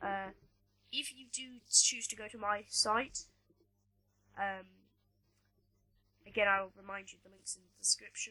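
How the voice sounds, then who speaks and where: A woman with an American accent speaks at a fairly slow pace, her loudness swinging widely and her speech broken by long, frequent pauses. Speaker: tutorial maker. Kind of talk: tutorial. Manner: hesitant, many fillers.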